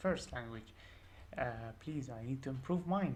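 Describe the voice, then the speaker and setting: Amid audible room echo, a woman with a non-native accent speaks at a fairly slow pace, using lively intonation with vocal fry. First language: not English. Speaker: programming tutor. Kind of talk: tutorial. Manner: hesitant, many fillers.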